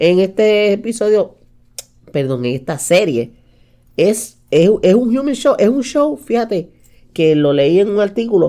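Speaking fairly slowly with long, frequent pauses, a woman uses a dark, mellow tone and very wide pitch swings. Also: medium pitch for a woman. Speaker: podcast co-host. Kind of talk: casual chat.

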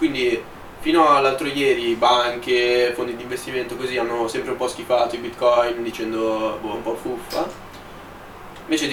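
At a moderate pace and medium pitch, a man speaks with fairly even intonation amid noticeable background noise and audible room echo. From Milan, Italy. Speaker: podcast co-host, economics student. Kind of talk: casual chat.

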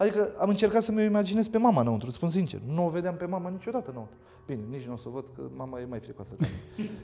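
Talking very fast at a high pitch, a man makes very wide pitch swings and big swings in loudness. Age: 30s. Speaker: escape room owner. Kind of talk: casual chat. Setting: on location at his escape house.

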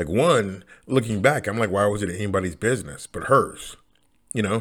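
A man with a fairly low pitch talks at a fairly quick pace. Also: very clean recording, silent background. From United States. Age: 40s. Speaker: podcaster. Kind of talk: solo monologue. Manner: halting, many fillers and repetitions.

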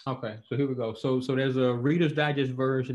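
In a monotone with flat intonation, a man speaks at medium pitch and a very fast pace. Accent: Alabama. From Montgomery, Alabama. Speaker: professor and author. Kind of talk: interview conversation. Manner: casual, conversational.

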